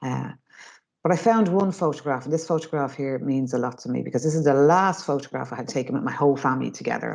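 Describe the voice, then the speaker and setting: This woman's voice sits very deep and low. She talks at a very fast pace. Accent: north Dublin. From Ireland, North Dublin (Finglas). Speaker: mindset trainer and former youth worker. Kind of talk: webinar talk. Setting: online webinar. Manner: fast when excited.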